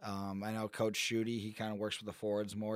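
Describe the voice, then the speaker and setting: The recording is very clean, with a silent background. A man with an American accent speaks at a fairly quick pace and a fairly low pitch. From Michigan, US. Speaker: college hockey player. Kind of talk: interview. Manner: halting.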